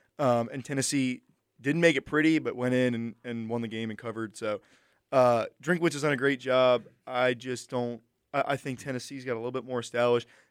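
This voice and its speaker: A man talks in a normal speaking voice at a medium pitch and a fairly quick pace. His intonation is fairly even, and the recording is very clean with a silent background. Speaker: sports talk co-host. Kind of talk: casual sports banter. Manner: quick, sarcastic, joking.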